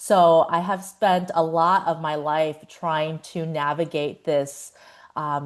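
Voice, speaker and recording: A woman's fairly low voice with an American accent. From China, then United States. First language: Chinese. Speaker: psychologist. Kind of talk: podcast interview. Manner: hesitant, many fillers.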